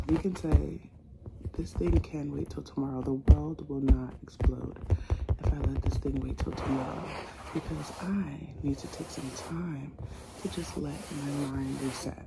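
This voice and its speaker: A soft-spoken woman talks at a fairly slow pace over noticeable background noise. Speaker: ASMR creator. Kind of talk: ASMR soft spoken ramble. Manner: soft-spoken, calming.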